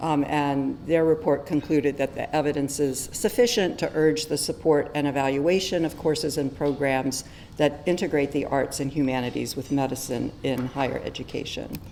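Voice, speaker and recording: Soft-spoken and very deep, a woman talks at a moderate pace with fairly even intonation and hardly any pauses. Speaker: physician and medical educator. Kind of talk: conference talk. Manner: hesitant with many fillers.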